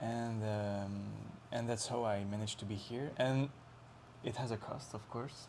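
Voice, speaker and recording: Heard with audible room echo, a man speaks at a fairly slow pace in a medium pitch, his monotone, flat intonation broken by long, frequent pauses. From France, Lyon. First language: French. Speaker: traveler on a working holiday. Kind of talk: casual chat. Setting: interview in Osaka. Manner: halting.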